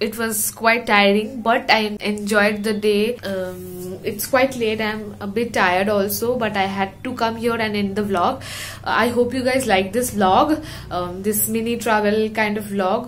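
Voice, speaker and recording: Over light background noise, a woman speaks at a moderate pace in a flat, monotone way. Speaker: vlogger. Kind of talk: casual vlog chat. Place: home room. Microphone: phone near.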